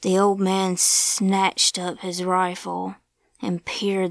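The background is quiet during this plain reading aloud.

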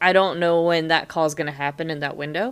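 At a fairly quick pace, a woman talks with fairly low pitch and fairly even intonation. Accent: American. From US. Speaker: podcast co-host. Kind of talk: casual chat.

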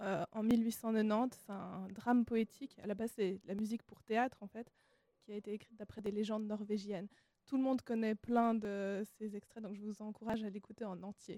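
At a moderate pace, a woman talks in a fairly high pitch with a dark, mellow tone and monotone, flat intonation, the sound dry and close with no echo. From Switzerland (Lausanne). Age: young. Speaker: classical musician. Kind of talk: radio interview.

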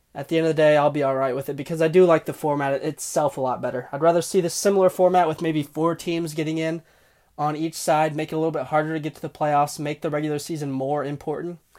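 A man talks at a very fast pace, fairly high in pitch and monotone. The recording is very clean, with a silent background. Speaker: podcast host. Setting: recording alone in a closet. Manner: fast talker.

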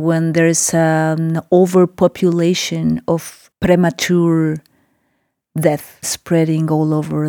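In a Spanish accent, a woman speaks with a dark, mellow tone at a fairly low pitch, the sound dry and close with no echo on a very clean recording with a silent background. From Mexico City. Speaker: visual artist. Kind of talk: interview. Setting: studio.

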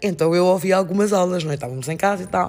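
Talking at a fairly quick pace, a woman uses a fairly low pitch. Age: 50s. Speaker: master's student and coach. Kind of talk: casual chat.

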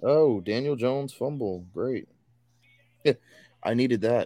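Here a man talks at a moderate pace with a medium pitch. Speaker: podcast host. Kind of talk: casual sports chat. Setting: live stream.

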